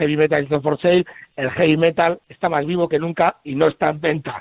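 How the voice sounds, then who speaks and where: A man with fairly even intonation. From Basque Country, San Sebastián area. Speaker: rock band guitarist. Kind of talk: radio interview.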